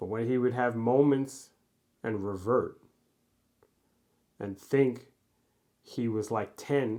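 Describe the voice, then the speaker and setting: A man speaks in a dark, mellow tone at a medium pitch, with an American accent and fairly even intonation. His pace is very slow, with long, frequent pauses. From New York (Mount Vernon, near the Bronx). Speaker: poet. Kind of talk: casual chat. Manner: halting.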